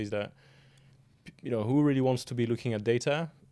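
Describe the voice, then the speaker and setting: Talking at a very fast pace, a man speaks with a French accent. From France. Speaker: property software company founder. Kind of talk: podcast interview. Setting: in person, Manchester. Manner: halting, many fillers.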